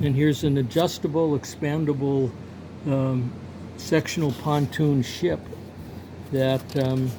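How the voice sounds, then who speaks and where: Noticeable background noise sits behind a man with a fairly high pitch. He speaks at a fairly slow pace with fairly even intonation. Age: 70s. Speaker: picture framer and artist. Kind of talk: casual vlog monologue. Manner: halting, many fillers.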